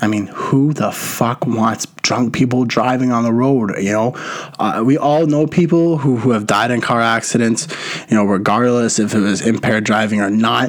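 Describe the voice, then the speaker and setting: A man speaks at a moderate pace in an animated tone. His pitch sits in the medium range, with noticeable background noise behind him. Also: ordinary pitch variation, very even loudness. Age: 20s. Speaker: podcast host. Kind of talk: casual monologue.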